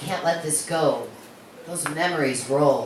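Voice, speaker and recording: At a very slow pace, a woman with a very deep, low pitch speaks with fairly even intonation amid noticeable background noise. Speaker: poet. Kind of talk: serious poetry reading.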